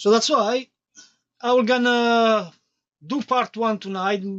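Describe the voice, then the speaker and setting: A non-native accent at a fairly slow pace. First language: not English. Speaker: electronics streamer. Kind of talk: live tutorial. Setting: live stream.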